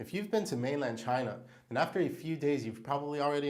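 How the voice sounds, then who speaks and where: Audible room echo surrounds a man talking very fast, his fairly high pitch showing ordinary variation. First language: Hebrew. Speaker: diamond salesperson. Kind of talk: tutorial.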